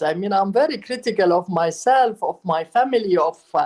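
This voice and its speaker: In an Arabic accent, a woman speaks at a fairly slow pace. Her pitch swings are very wide. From Palestine. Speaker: writer and architect. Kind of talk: interview.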